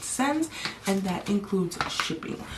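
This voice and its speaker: Noticeable background noise sits behind a woman who is soft-spoken. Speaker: beauty vlogger. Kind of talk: casual chat.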